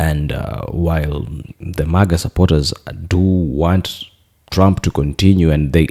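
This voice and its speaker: A man speaks with a very deep, low pitch and a dark, mellow tone, his pitch varying in an ordinary way. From Kenya. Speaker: political commentator. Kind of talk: opinion commentary. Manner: hesitant, many fillers.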